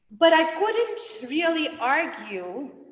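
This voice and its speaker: A woman's very slow speech with very wide pitch swings and audible room echo. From India. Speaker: seminary student and guest preacher. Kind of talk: sermon. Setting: church.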